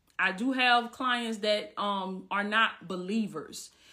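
Speaking at a fairly slow pace with a Southern US accent, a woman has a bright, sharp, animated tone, medium pitch and ordinary pitch variation. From US South, Southwest Georgia. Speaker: life coach. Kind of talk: livestream Q&A. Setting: live video stream.

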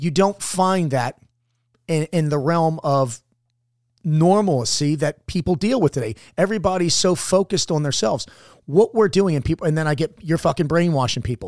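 This man has an unremarkable speaking voice, fairly high in pitch with lively intonation at a moderate pace. The recording is very clean and dry, close with no echo and a silent background. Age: 50s. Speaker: former Navy SEAL and leadership mentor. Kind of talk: casual chat.

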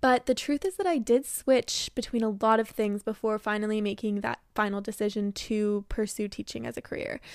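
In an ordinary speaking voice, a woman talks at a fairly quick pace with hardly any pauses, her pitch fairly high and her intonation fairly even, in a dry, close sound with no echo on a very clean recording with a silent background. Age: 20s. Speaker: kindergarten teacher and podcast host. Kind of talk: casual monologue.

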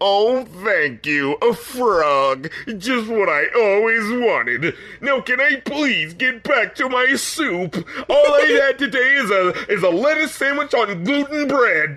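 Putting on a character voice, a man whines at an extremely high pitch, swinging very widely in pitch at a fairly slow pace. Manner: whining, complaining.

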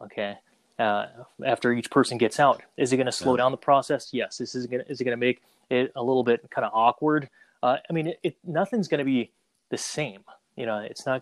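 A man with an unremarkable speaking voice, medium in pitch with ordinary variation, at a fairly quick pace, in a dry, close sound with no echo. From Saigon, Vietnam, raised in Minnesota. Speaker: photo booth business owner. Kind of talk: casual interview.

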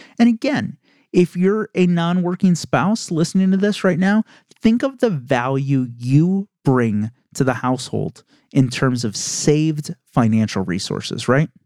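With a dry, close sound and no echo, a man with a fairly high pitch speaks at a fairly slow pace through very wide pitch swings. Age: 30s. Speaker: podcast host and insurance agent. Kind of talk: solo podcast monologue. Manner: casual, conversational.

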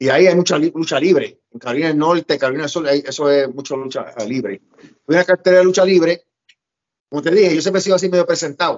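A man speaks at a fairly quick pace in an unremarkable speaking voice. His pitch is fairly high, with ordinary pitch variation. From Puerto Rico. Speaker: pro wrestler and promoter. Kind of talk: interview, storytelling.

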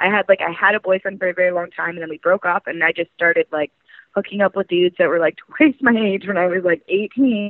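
A woman talks at a very fast pace with a Canadian accent. Her pitch varies in an ordinary way. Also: medium pitch for a woman. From Canada, rural British Columbia. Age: 20s. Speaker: adult entertainer. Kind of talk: casual interview chat. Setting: phone call.

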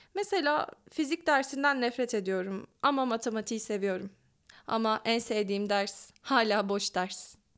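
In a normal speaking voice, a woman talks at a fairly slow pace and a fairly high pitch, with ordinary pitch variation. The recording is very clean, with a silent background. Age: 20s. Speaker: podcaster and graduate student. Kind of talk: reading aloud her own letter.

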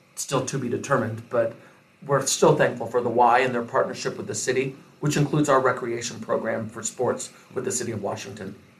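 With a Midwestern American accent, a man speaks at a fairly quick pace and medium pitch, his intonation fairly even, against noticeable background noise. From Iowa. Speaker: mayor and restaurant owner. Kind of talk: interview.

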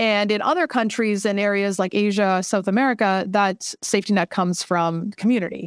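In a normal speaking voice at a medium pitch, a woman talks fairly quickly with hardly any pauses, fairly even intonation and very even loudness, in a very clean recording with a silent background and a dry, close sound with no echo. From Canada, Vancouver. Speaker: startup founder. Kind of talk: interview.

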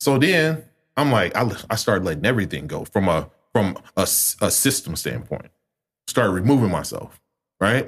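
Speaking with an American accent and vocal fry, a man with a fairly low pitch makes very wide pitch swings and takes long, frequent pauses. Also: moderate pace. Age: 30s. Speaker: community organizer. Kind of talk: casual chat.

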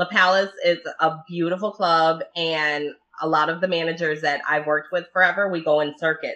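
Her pitch fairly low, a woman speaks at a moderate pace in a monotone with flat intonation. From Dearborn, Michigan. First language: Italian. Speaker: podcast host. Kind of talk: casual chat.

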